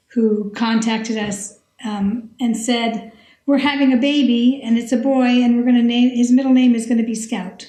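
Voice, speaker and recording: A woman speaks at a moderate pace in a fairly high, dark and mellow voice. Her intonation is monotone and flat. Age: 60s. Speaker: retired scientist and teacher, long-distance hiker. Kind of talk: podcast interview.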